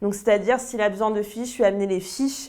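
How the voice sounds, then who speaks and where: Her voice sits fairly high. The woman's pitch moves up and down in an ordinary way. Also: very clean recording, silent background. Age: 20s. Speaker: TV sound assistant and floor manager. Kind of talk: interview testimony. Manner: hesitant with fillers.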